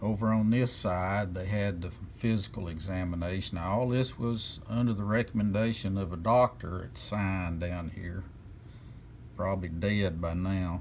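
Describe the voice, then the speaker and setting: At a moderate pace, a man with a very deep, low pitch speaks with ordinary pitch variation and audible room echo. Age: 60s. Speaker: channel owner sharing personal opinion. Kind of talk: personal video monologue. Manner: casual.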